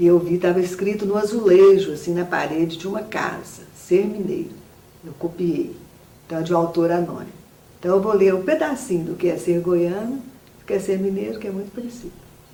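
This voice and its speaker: At a fairly quick pace, a woman speaks amid noticeable background noise and audible room echo. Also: medium pitch for a woman, ordinary pitch variation. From Minas Gerais, Brazil. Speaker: writer and musician, academy member. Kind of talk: interview; reading aloud.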